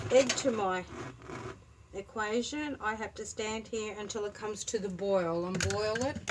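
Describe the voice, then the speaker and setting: Her pace is fairly slow and her pitch fairly high. The woman is heard against noticeable background noise. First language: Turkish. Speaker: home cook. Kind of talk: cooking tutorial. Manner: casual, conversational.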